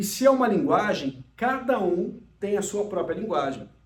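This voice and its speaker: This man's intonation is lively. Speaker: emotional intelligence speaker and mentor. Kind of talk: recorded lecture.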